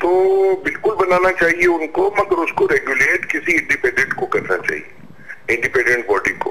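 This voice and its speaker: A man speaks with very even loudness amid noticeable background noise. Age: 60s. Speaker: senior journalist. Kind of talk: talk show discussion. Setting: phone call.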